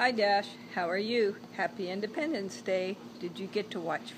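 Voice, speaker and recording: A woman in an animated, warm tone at a moderate pace, over noticeable background noise. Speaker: grandmother reading to grandchild. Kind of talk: bedtime story reading aloud to a grandchild, with asides about the pictures. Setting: home video, holding up the book to the camera. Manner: warm, gentle, chatty storyteller pace with playful asides; animated, addresses the child directly. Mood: warm, gentle. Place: garden. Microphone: phone near.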